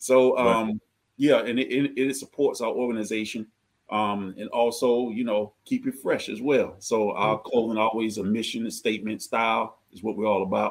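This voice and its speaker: Speaking at a moderate pace, a man with an American accent keeps a medium pitch and a monotone, flat intonation. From US South, Georgia. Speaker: nonprofit founder. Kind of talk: casual chat.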